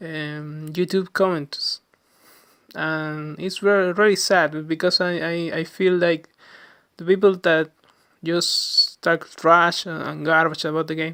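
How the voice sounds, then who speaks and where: In a Chilean Spanish accent, a man speaks at a very slow pace in a high pitch, his bright, sharp tone delivered with monotone, flat intonation and big swings in loudness. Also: very clean recording, silent background. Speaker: gaming podcaster. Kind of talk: casual monologue podcast. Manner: halting, many fillers and restarts.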